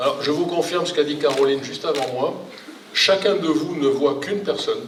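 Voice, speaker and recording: Speech at a moderate pace with ordinary pitch variation comes through noticeable background noise and audible room echo. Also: man. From southern France, Provence (Toulon). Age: 60s. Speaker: retired engineer, local election candidate. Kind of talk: public speech at campaign meeting. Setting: public meeting with audience.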